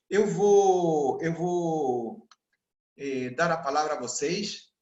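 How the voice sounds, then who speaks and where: This man has a high pitch, speaks at a very slow pace and uses ordinary pitch variation. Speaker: sales mentor. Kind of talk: online mentoring session.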